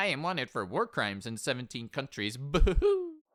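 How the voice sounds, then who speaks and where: Using a put-on character voice, a man speaks gravelly and fairly high at a moderate pace. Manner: comedic, gleeful.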